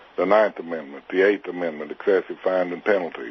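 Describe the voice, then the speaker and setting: A man talks at a fairly quick pace with an American accent and ordinary pitch variation. Background noise is noticeable. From Arkansas, US South. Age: 60s. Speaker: militia member facing prison. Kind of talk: interview. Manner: hesitant, many filler 'uh's.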